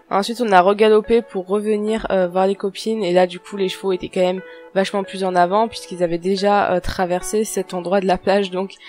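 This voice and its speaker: Soft-spoken and monotone, with flat intonation, a woman talks at a fairly quick pace with music in the background. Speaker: horse rider. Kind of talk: voice-over narration. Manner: soft, calm.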